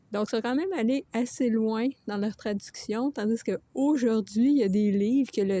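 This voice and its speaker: Captured with a dry, close sound and no echo, a woman with a Quebec accent speaks at a fairly slow pace, her fairly high voice dark and mellow in tone with ordinary pitch variation. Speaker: book reviewer. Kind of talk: book review vlog. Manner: casual, with frequent hesitations.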